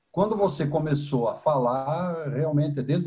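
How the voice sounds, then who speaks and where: A man talks at a fairly slow pace with a dark, mellow tone. His pitch is fairly high, with ordinary pitch variation. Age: 60s. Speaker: engineer and karate student. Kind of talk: Q&A in online class. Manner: halting.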